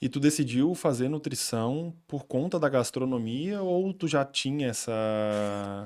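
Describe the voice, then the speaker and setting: Through a very clean recording with a silent background, a man speaks at a very slow pace with lively intonation and hardly any pauses. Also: medium pitch for a man. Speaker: podcast host. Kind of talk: casual chat. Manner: talkative.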